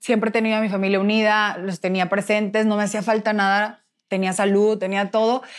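On a very clean recording with a silent background, a woman speaks at a fairly quick pace in a medium-pitched, monotone, flat voice. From Mexico, Nuevo León (Monterrey). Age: 20s. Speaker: former beauty queen, pageant director. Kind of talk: interview testimony.

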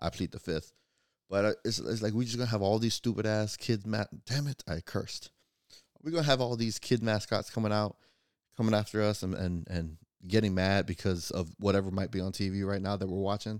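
An unremarkable speaking voice, this man talks with an American accent at a fairly quick pace and fairly low pitch with ordinary pitch variation, in a dry, close sound with no echo on a very clean recording with a silent background. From Florida, US. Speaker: podcast host. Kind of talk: casual solo commentary podcast.

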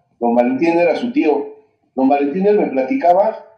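His pitch ranges very widely. The voice belongs to a man. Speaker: singer. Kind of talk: interview.

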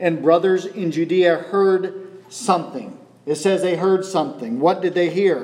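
Someone reads a text aloud in a natural voice, the intonation staying fairly even.

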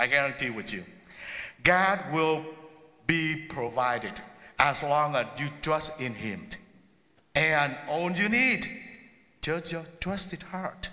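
A man with a non-native accent and a fairly high pitch speaks at a very slow pace. His intonation is lively, broken by long, frequent pauses. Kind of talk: sermon. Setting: church.

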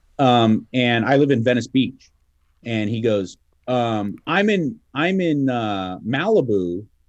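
A man in a Southern California accent, medium in pitch, with lively intonation at a very slow pace. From Los Angeles. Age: 40s. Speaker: radio host. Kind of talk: casual chat.

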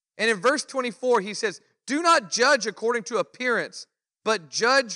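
A man's raised, projected voice at an extremely high pitch, with ordinary pitch variation and a fairly slow pace, on a very clean recording with a silent background. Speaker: pastor. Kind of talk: Bible study teaching. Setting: church. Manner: casual, conversational.

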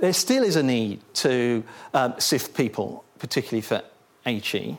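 A man's medium-pitched voice on a very clean recording with a silent background. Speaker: policy advisor and speaker. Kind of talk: seminar presentation then discussion. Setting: seminar room with audience. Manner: hesitant, repeats words.

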